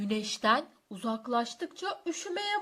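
Heard here is a natural reading voice.

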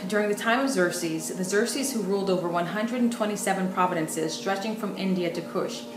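A woman talks with ordinary pitch variation. Clear music plays in the background. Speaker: bible teacher. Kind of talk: sermon. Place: home room.

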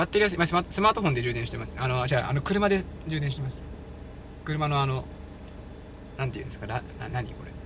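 Speech comes at a very fast pace with big swings in loudness and long, frequent pauses, in a dry sound with no echo against noticeable background noise. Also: man, fairly high pitch for a man, lively intonation. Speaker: live streamer. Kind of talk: live outdoor stream, casual commentary. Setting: outdoors. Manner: chatty, animated. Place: open country. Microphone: phone near.

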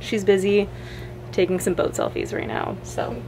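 A woman is speaking. Music plays behind her. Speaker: travel vlogger. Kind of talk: casual vlog chat. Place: boat. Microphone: phone near.

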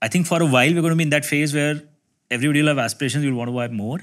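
Lively intonation colors a man's speech. Behind him, the background is quiet. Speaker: guest. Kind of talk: discussion answer. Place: meeting room. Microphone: lapel.

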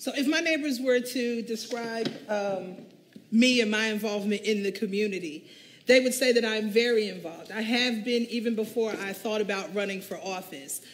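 In a plain, everyday voice, a woman speaks with an American accent. Her pace is moderate and her pitch variation ordinary. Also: fairly high pitch for a woman. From US Northeast. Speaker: teacher and council candidate. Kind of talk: candidate forum speech. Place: hall. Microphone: camera far.

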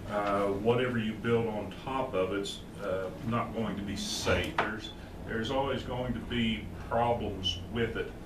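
A man talks at a fairly slow pace, with loud background noise all around. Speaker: Bible class teacher. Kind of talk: lecture. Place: church. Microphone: camera far.

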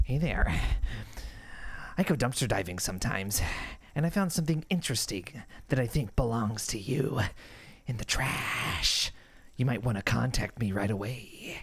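A man's menacing put-on character voice at medium pitch, moderate pace, lively intonation, and long, frequent pauses. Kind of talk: reading a message aloud, playful. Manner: creepy, menacing.

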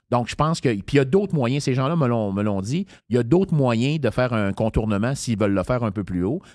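Lively in intonation, a man with an unremarkable speaking voice talks at a fairly quick pace and medium pitch on a very clean recording with a silent background. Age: 50s. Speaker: political candidate. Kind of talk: interview. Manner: casual.

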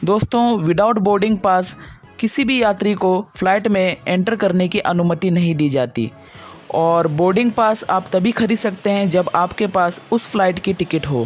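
Faint music plays in the background as a woman speaks at a fairly slow pace, with very even loudness and ordinary pitch variation. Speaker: travel vlogger. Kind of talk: casual vlog narration. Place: hall. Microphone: phone near.

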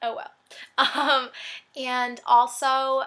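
A woman's voice carries a bright, sharp tone. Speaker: fashion vlogger. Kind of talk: casual vlog chat. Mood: cheerful, giggly. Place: home room. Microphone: webcam.

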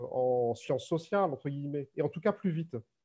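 Against a quiet background, a man's voice carries a dark, mellow tone and lively intonation. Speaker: author and researcher; webinar panelist. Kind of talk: academic talk. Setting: video call. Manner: halting. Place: home room. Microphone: webcam.

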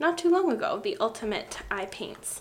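Her intonation is lively, and the woman keeps a moderate pace. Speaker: beauty vlogger. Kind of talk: casual vlog chat. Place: home room.

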